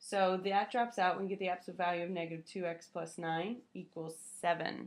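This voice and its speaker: With an unremarkable speaking voice, a woman speaks fairly quickly at a fairly low pitch and with fairly even intonation. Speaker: math teacher. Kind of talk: lecture.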